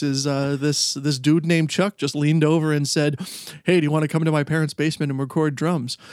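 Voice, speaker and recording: A man with a Canadian accent at a fairly quick pace, amid noticeable background noise. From Canada, Ontario. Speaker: museum worker and musician. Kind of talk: casual chat.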